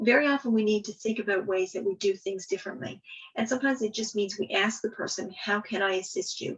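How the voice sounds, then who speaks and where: Medium-pitched female speech at a fairly quick pace. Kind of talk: webinar presentation. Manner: fast.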